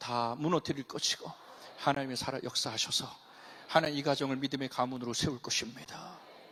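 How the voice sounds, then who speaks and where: Fairly quick in pace, a man's voice comes across with a bright, sharp tone. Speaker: pastor. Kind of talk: sermon. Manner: animated.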